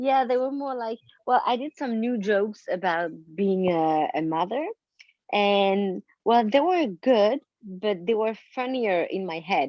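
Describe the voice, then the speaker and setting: With a French accent, a woman talks at a fairly slow pace in a fairly high voice with lively intonation. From France. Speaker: comedian and actress. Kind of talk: casual chat. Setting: video call.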